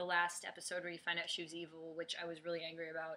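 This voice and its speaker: A woman with a Chicago accent speaks in a bright, sharp tone at a fairly low pitch. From US Midwest, Chicago. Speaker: fan vlogger. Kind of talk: casual video blog. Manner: hesitant, many fillers.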